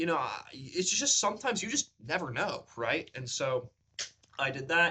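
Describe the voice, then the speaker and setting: A man talks at a moderate pace in a high pitch, his voice swinging very widely up and down. His tone is bright and sharp. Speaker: beginner actor and vlogger. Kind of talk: casual vlog. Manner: raised higher pitch when speaking long in videos.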